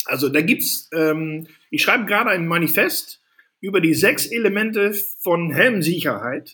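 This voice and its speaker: A man's high-pitched voice is raised and projected, with a bright, sharp tone. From Netherlands. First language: Dutch (speaking German). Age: 40s. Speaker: safety equipment entrepreneur. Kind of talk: casual interview.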